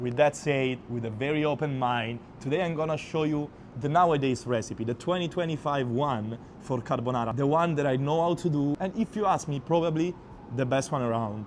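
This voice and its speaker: A man speaks in an Italian accent at a fairly quick pace. His pitch is fairly high, with ordinary pitch variation. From Abruzzo, Italy. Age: 20s. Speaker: chef. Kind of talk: cooking tutorial talk to camera. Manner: casual.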